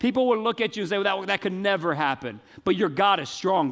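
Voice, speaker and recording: Speaking with an American accent, a man uses a high pitch. His pitch swings very widely over a quiet background. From US South. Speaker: pastor. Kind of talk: sermon. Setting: church.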